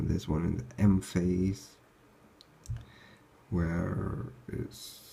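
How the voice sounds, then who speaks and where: With vocal fry and a dark, mellow tone, a man speaks in a very deep, low voice with ordinary pitch variation. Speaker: student. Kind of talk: revision lecture talk.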